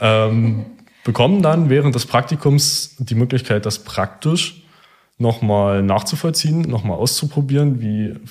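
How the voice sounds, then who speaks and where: Lively intonation runs through the speech. There is some breathiness in the voice. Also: man. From eastern Germany, near Cottbus. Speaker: engineering student. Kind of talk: interview.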